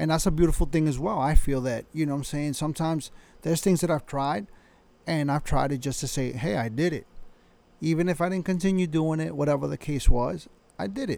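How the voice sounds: Vocal fry runs through a dark, mellow tone delivered at a fairly quick pace with ordinary pitch variation. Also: man, fairly high pitch for a man.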